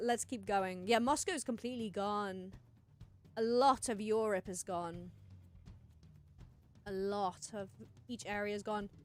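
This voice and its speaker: With music in the background, a woman speaks at a medium pitch with ordinary pitch variation and big swings in loudness. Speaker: streamer. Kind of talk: livestream commentary. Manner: halting.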